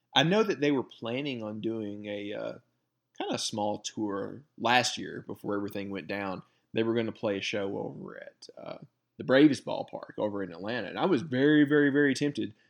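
A man with a Southern US accent talks at a fairly quick pace with a medium pitch and ordinary pitch variation. His loudness swings widely, and the background is quiet. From rural Alabama. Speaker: podcast co-host. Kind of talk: casual chat.

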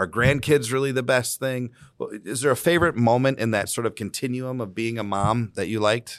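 With an American accent and an ordinary speaking voice, a man talks at a fairly quick pace in a medium pitch with ordinary variation against a quiet background. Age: 30s. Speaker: mayor and podcast host. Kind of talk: casual family interview.

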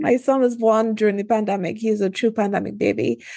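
A woman with a Trinidadian accent and ordinary pitch variation. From Trinidad and Tobago. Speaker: obstetrician-gynecologist and entrepreneur. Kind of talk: podcast interview.

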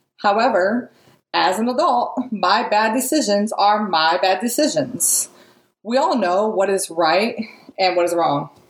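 An unremarkable speaking voice at a fairly slow pace, with very even loudness and lively intonation. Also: woman, fairly high pitch for a woman. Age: 40s. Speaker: motivational podcast host. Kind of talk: motivational monologue.

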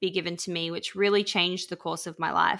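In an Australian accent, a woman with a medium pitch and a bright, sharp tone speaks with monotone, flat intonation on a very clean recording with a silent background. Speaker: podcast host and author. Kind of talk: casual interview chat.

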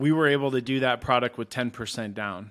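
His pitch stays at a medium level, and his intonation remains fairly even. The man, speaking in a normal speaking voice, has an American accent. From Michigan, US Midwest. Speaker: mortgage broker. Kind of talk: interview.

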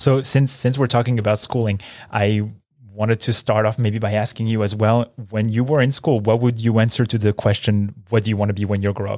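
The voice moves at a fairly quick pace in a monotone, flat intonation. The recording is very clean with a silent background. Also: man, fairly low pitch for a man. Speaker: podcast host and neonatal physician. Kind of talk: interview. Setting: studio.

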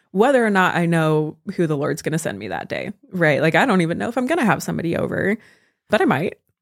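A woman with an American accent at a very fast pace, fairly low in pitch with vocal fry and very wide pitch swings. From California. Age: 20s. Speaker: college student and bread baker. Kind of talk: casual chat.

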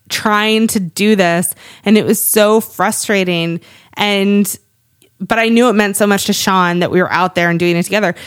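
A woman with an American accent delivers her words in a monotone, flat intonation at a medium pitch and moderate pace, in a very clean recording with a silent background. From US Northeast, Cape Cod, Massachusetts. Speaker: podcast co-host, business owner and mother. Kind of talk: casual chat.

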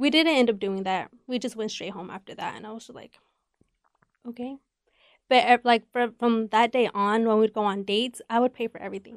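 A woman with a fairly high pitch talks at a fairly quick pace, her intonation fairly even but her loudness swinging widely. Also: dry, close sound with no echo. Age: 20s. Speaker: podcast host and festival creator. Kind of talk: casual chat.

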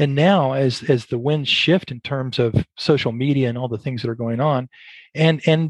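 A man talks in a plain, everyday voice with an American accent, at a medium pitch and a fairly quick pace. His pitch varies in an ordinary way, and the sound is dry and close with no echo. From Brazos Valley, Texas. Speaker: podcast host and business owner. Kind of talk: interview.

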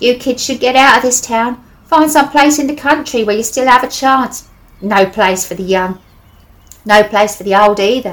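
A put-on character voice, female-sounding and wheezy, high in pitch at a moderate pace. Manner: weary, warning.

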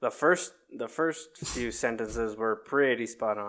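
This is a man speaking. His pace is fairly slow. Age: 20s. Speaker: motorsport podcast co-host. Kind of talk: casual chat.

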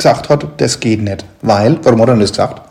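The man talks at an average speed while noticeable background noise plays behind him. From northern Germany. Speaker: podcast host. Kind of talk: interview. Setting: on location at the brewery. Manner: halting.

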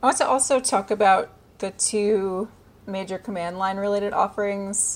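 A woman with a medium-pitched, plain, everyday voice speaks at a moderate pace. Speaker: podcast host. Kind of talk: interview.

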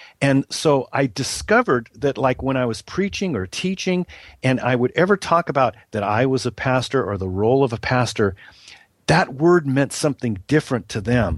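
Male speech in an ordinary speaking voice at medium pitch, with a dry, close sound with no echo over a quiet background. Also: lively intonation, moderate pace. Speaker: pastor and ministry author. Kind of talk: interview conversation about ministry.

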